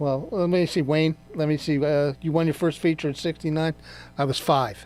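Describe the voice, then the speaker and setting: An ordinary speaking voice with an American accent, fairly even intonation and a moderate pace. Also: man, fairly high pitch for a man. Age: 60s. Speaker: radio co-host, garage owner. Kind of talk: casual radio chat.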